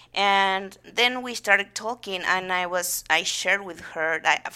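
A woman with a Spanish accent speaks at a fairly slow pace, her bright, sharp tone held to fairly even intonation. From Argentina, Buenos Aires province. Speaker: theatre founder and actress. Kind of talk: interview.

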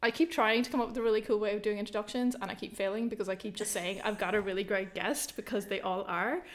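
A woman talks in an ordinary speaking voice. Her pitch is fairly high, with ordinary variation. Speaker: podcast host. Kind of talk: casual interview chat.

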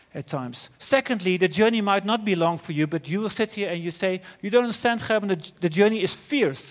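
Talking at a fairly quick pace with a Dutch accent, a man uses a high pitch and lively intonation. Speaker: preacher. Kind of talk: sermon. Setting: church.

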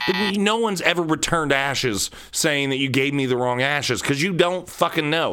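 A man's fairly high voice, bright and sharp in tone, with lively intonation. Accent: American. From central Ohio, US. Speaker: podcast host. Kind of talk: solo comedic rant podcast monologue. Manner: ranting, sometimes angry.

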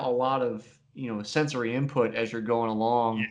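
Speaking at a moderate pace, a man uses an ordinary speaking voice with a medium pitch. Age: 30s. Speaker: podcast host. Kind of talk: podcast interview. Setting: video call.

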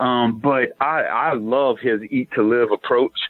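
Music playing behind ordinary pitch variation. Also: man. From New Orleans, Louisiana. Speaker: weight-loss author and ultra runner. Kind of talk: interview.

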